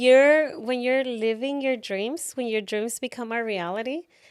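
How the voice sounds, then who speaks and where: Amid noticeable background noise, a woman with a Mexican accent speaks at a high pitch and a fairly slow pace, with ordinary pitch variation. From Tijuana, Mexico. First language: Spanish. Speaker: author and keynote speaker. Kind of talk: podcast interview.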